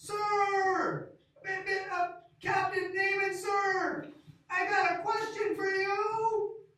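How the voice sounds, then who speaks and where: A put-on character voice at an extremely high pitch, very slow and monotone, with flat intonation and a slight echo. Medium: stage play. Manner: hesitant, halting.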